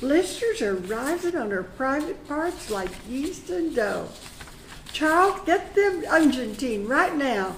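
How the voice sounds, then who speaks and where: A woman's put-on character voice, high-pitched with very wide pitch swings, over clear background noise. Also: fairly slow pace. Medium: read story.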